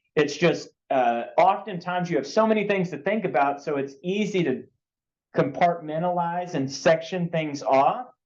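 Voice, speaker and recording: A man with a high-pitched voice speaks at a moderate pace with ordinary pitch variation, and audible room echo surrounds him. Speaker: coding instructor. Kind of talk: lecture.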